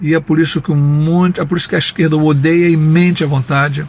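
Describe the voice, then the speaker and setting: Fairly even intonation at a moderate pace, over noticeable background noise. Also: man. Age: 60s. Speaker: taxi driver sharing opinions. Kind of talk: personal opinion monologue with anecdote.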